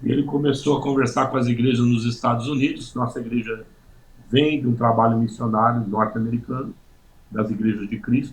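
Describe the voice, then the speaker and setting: Somewhat breathy and fairly quick, a man talks at a medium pitch with monotone, flat intonation. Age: 60s. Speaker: pastor. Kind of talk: testimony. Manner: halting, many fillers.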